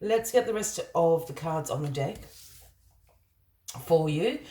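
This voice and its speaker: A woman's voice sounds dark, mellow and somewhat breathy. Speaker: tarot reader. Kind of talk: tarot reading.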